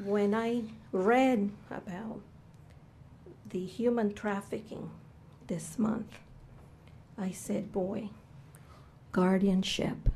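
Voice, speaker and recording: A woman speaks at a medium pitch with a dark, mellow tone and a Cuban accent. Her delivery is very slow and fairly even, with vocal fry. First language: Spanish. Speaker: public testimony speaker. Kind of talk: testimony. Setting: legislative committee hearing.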